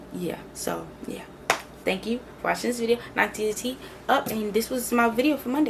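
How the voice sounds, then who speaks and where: A woman speaks in a fairly high pitch, leaving long, frequent pauses. Noticeable background noise runs behind her. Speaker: video creator. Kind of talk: casual, slangy. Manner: fast talker.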